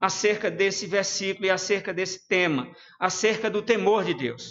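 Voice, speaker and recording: A man talks at a moderate pace. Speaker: preacher. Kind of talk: sermon. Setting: church livestream.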